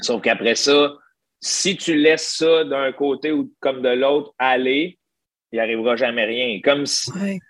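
This man talks at a fairly slow pace with a Quebec accent. His pitch is fairly high. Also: ordinary pitch variation. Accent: Québécois French. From Quebec, Gentilly (Centre-du-Québec). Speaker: stand-up comedian. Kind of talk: casual interview conversation.

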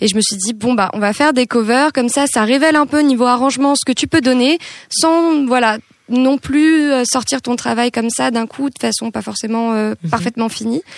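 The sound is dry and close, with no echo. A woman speaks at a high pitch. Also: ordinary pitch variation, moderate pace. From France, Île-de-France (Hauts-de-Seine). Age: 20s. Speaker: singer-songwriter. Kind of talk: casual chat.

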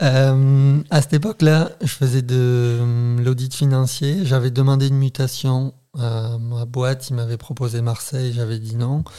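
A man talks at a fairly slow pace with hardly any pauses. His medium-pitched voice has fairly even intonation. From southern France, Béziers. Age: 30s. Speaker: renewable energy worker, podcast guest. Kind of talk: casual chat.

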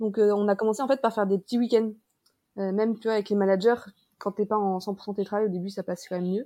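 A woman talks at a very fast pace, at a medium pitch. Her tone is dark and mellow, her intonation fairly even. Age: 20s. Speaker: digital nomad, marketing worker. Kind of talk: casual chat.

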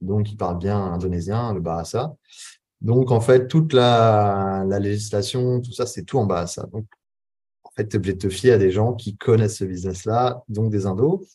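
This man has a dark, mellow tone, a fairly low pitch and a somewhat breathy quality. He speaks at a fairly slow pace with ordinary pitch variation. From western France (Charente-Maritime). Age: 30s. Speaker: entrepreneur and business coach. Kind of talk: casual interview. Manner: hesitant, many fillers.

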